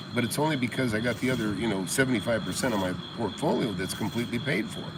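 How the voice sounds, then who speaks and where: A man with an American accent talks very fast, with audible room echo and noticeable background noise. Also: medium pitch for a man, ordinary pitch variation. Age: 60s. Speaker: real estate investor and mentor. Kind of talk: casual livestream chat. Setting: outdoors by a jacuzzi at night. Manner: halting, many fillers and restarts.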